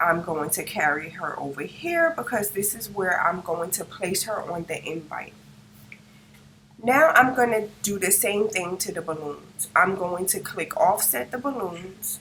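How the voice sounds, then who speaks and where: Lively intonation and big swings in loudness come through over noticeable background noise. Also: woman, medium pitch for a woman. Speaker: craft tutorial creator. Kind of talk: tutorial. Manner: casual, step-by-step narration. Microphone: no microphone, built-in device mic.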